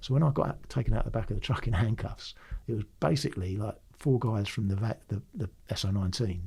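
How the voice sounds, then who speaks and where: In a London accent, a man talks at a very fast pace with a fairly low pitch and a dark, mellow, somewhat breathy tone. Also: ordinary pitch variation. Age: 60s. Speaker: retired police firearms officer. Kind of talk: casual interview storytelling.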